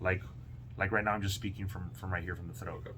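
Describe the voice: Over noticeable background noise, a man does a put-on character voice, guttural and very deep, talking very fast.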